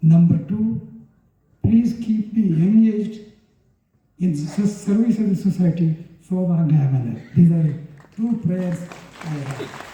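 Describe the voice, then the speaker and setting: Speaking in a high pitch with ordinary pitch variation, a man moves at a fairly slow pace with long, frequent pauses. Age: 80s+. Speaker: retired judge. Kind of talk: speech at a book release. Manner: halting.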